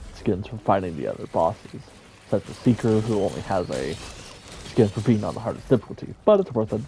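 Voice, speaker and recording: A man talking at a fairly quick pace with lively intonation, noticeable background noise behind him. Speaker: gaming youtuber. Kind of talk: casual gameplay commentary. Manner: casual, rambling with fillers.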